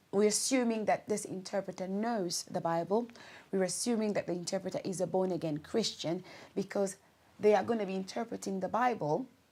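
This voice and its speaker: In a very clean recording with a silent background, a woman with a Congolese accent speaks at a fairly quick pace in a medium pitch, her tone dark and mellow and her intonation fairly even. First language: Lingala. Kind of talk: talk-to-camera advice video.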